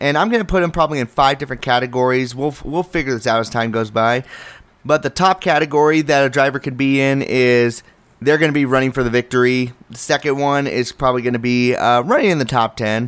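A man at a very fast pace and a medium pitch, animated in tone, with ordinary pitch variation. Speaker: motorsport podcast host. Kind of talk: solo podcast commentary.

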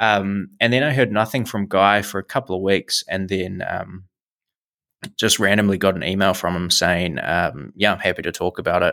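Speaking in a normal speaking voice, a man keeps a moderate pace and a fairly low pitch with ordinary pitch variation. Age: 20s. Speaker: investing YouTuber and podcaster. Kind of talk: casual interview chat. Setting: remote internet call.

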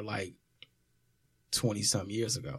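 A man with an American accent, an unremarkable speaking voice and fairly even intonation. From US Midwest, south side of Chicago. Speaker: rapper and former teacher. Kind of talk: casual chat.

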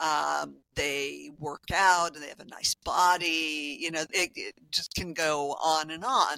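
Speaking at a very slow pace with hardly any pauses, a woman uses a very deep, low pitch, fairly even intonation and a bright, sharp tone, in a dry, close sound with no echo. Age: 60s. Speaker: health coach. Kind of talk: interview. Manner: halting.

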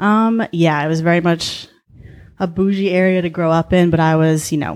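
A woman with fairly low pitch and fairly even intonation is heard in a very clean recording with a silent background. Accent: American. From Southern California. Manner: fast talker.

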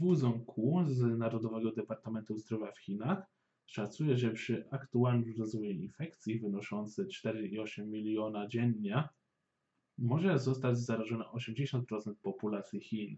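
With ordinary pitch variation, an ordinary speaking voice proceeds at a fairly slow pace. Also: man. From Poland, Warsaw. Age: 20s. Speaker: podcast host. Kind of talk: scripted news narration.

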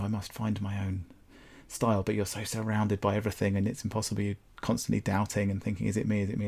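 Very fast and flat, a man talks in a southern English accent with a fairly low pitch and a dark, mellow tone. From southern England, Brighton. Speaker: landscape photographer and gallery owner. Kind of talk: casual interview chat.

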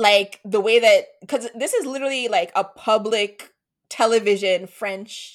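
A woman with an ordinary speaking voice delivers her words fairly slowly and at a fairly high pitch. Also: very clean recording, silent background. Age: 30s. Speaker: podcast host. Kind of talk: casual chat.

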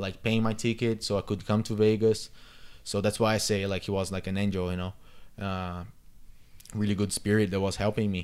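With a Brazilian accent and fairly low pitch, a man speaks in a monotone, flat intonation broken by long, frequent pauses. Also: very clean recording, silent background. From Brazil, São Paulo. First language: Portuguese. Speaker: circus performer and dancer. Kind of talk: interview. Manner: halting.

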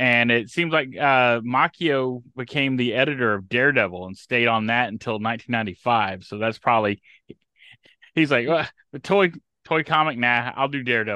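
In an American accent, a man with a medium pitch and a bright, sharp tone speaks at a moderate pace with ordinary pitch variation against a quiet background. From Texas, Houston. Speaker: podcast guest, fan-site researcher. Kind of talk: casual chat.

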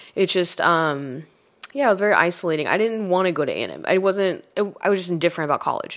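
A woman talks at a very fast pace in an American accent. Her pitch is medium, with ordinary pitch variation. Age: 30s. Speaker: comedian. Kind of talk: casual chat.

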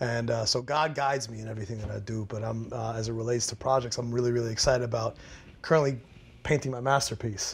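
A man speaks very fast in a medium pitch, his voice somewhat breathy. The intonation stays fairly even, and the recording is very clean with a silent background. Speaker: actor and spoken word poet. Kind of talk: panel roundtable discussion.

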